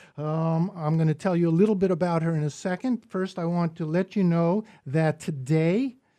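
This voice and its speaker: In an American accent, a man speaks with a dark, mellow tone, high pitch and ordinary pitch variation. The recording is very clean, with a silent background. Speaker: radio poetry segment host, poet. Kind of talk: radio interview. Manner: halting, many fillers.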